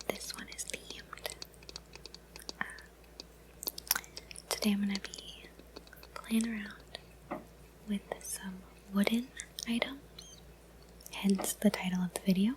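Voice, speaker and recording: Whispering comes at a fairly slow pace with long, frequent pauses. Noticeable background noise runs underneath. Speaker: ASMR content creator. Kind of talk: ASMR trigger video, casual talk to camera. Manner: casual, friendly, chatty.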